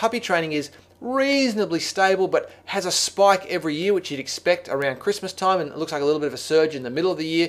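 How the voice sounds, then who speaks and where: A man talks very fast in a high voice with an Australian accent and lively intonation. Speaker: software trainer. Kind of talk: screencast tutorial. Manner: casual, many fillers and restarts.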